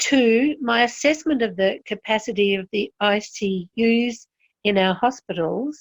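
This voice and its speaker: A woman with an Australian accent at a fairly high pitch, fairly slow pace and ordinary pitch variation, in a dry, close sound with no echo. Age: 70s. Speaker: health consumer. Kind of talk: interview testimony. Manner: structured, enumerated points.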